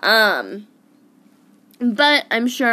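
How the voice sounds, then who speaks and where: Bright and sharp in tone, a woman speaks with an American accent and ordinary pitch variation. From Arizona, US. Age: 20s. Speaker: podcaster in addiction recovery. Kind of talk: personal testimony monologue. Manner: casual, many filler ums.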